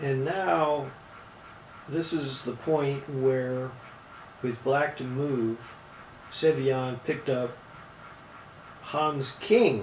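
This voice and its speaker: Over noticeable background noise and audible room echo, a man with a medium pitch and ordinary pitch variation talks at a very slow pace with long, frequent pauses. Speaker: chess commentator and coach. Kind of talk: chess game analysis commentary.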